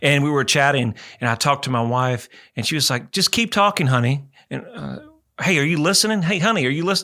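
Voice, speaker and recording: At a very fast pace, a man speaks with a bright, sharp tone and lively intonation. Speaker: radio host and real estate broker. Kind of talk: radio talk show. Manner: talkative, chatty.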